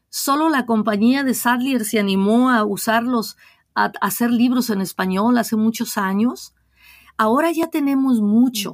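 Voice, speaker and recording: A woman's voice, a plain, everyday voice, fairly high in pitch with ordinary pitch variation, at a moderate pace, on a very clean recording with a silent background. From Mexico, Guadalajara, Jalisco. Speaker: diocesan ministry director. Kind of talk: interview.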